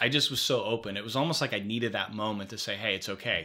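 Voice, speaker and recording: In a very clean recording with a silent background, a man with an American accent speaks very fast at a fairly low pitch in a bright, sharp tone. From Philadelphia, US. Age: 40s. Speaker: career and life coach. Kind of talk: casual interview chat. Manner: animated.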